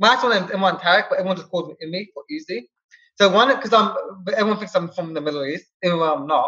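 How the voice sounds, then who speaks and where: A man speaks in a raised, projected voice. His pitch is high and his intonation lively. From England, London. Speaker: SEO expert, entrepreneur. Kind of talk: interview.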